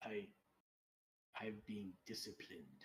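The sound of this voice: A put-on character voice, low-pitched and hissing.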